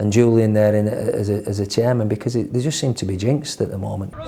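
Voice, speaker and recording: A man with a Yorkshire accent talks fairly quickly with fairly even intonation over noticeable background noise. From northern England, Leeds. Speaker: football manager. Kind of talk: interview. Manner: halting, repeats words.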